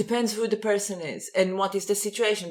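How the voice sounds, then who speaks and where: In an Israeli accent, a woman with a medium pitch talks at a very fast pace. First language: Hebrew. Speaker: podcast co-host. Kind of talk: casual chat.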